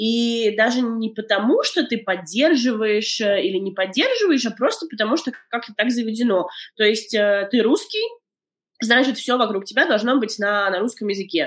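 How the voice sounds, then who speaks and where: The woman uses a normal speaking voice at a fairly high pitch. Her pace is moderate. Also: ordinary pitch variation. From Latvia, Daugavpils. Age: 30s. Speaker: documentary filmmaker. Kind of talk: interview. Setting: remote call.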